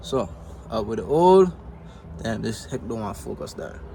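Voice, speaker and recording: A man is speaking. He has a Virgin Islands accent. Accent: Virgin Islands Caribbean English. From US Virgin Islands, Saint Croix. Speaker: futures trader, vlogger. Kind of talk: casual vlog. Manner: casual, filled with ums.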